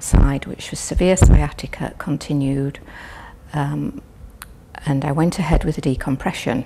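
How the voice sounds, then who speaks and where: At a fairly slow pace and with ordinary pitch variation, a woman talks over noticeable background noise. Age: 70s. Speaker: patient. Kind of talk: testimony. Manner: halting.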